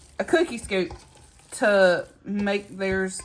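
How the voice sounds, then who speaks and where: A woman talks with a Southern US accent. Music plays behind her. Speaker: home cooking vlogger. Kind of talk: cooking tutorial. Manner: casual, chatty.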